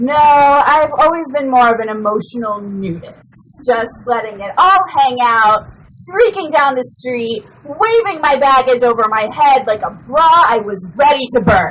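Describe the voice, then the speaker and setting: A woman with a high pitch talks with lively intonation and hardly any pauses. Background noise is noticeable. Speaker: slam poet. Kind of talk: spoken word poetry performance.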